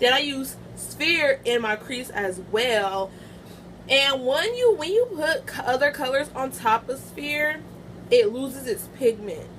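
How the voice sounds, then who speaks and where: A woman with a high voice speaks at a fairly slow pace, with noticeable background noise behind her. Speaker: beauty vlogger. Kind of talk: product review vlog. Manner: loud; casual, halting.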